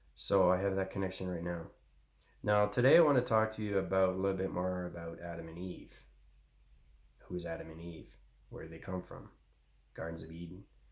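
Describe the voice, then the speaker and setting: A man's very deep, low voice at a fairly quick pace, with long, frequent pauses, big swings in loudness, ordinary pitch variation and audible room echo. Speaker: spiritual channel host. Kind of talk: spiritual monologue. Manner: fast.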